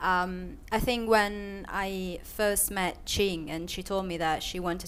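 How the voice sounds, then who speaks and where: A woman with a non-native accent speaks fairly slowly at medium pitch. Her intonation stays fairly even. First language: not English. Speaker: filmmaker. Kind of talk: panel discussion. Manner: halting, many fillers and restarts.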